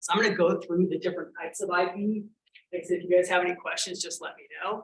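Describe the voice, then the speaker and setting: This man talks very fast in a high pitch with flat, monotone intonation. His loudness swings widely. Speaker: intellectual property attorney. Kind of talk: lecture. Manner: informal.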